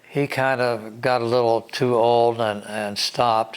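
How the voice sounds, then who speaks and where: A man with an American accent speaks at a medium pitch and a very slow pace. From West Virginia. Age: 80s+. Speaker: air force veteran. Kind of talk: interview storytelling.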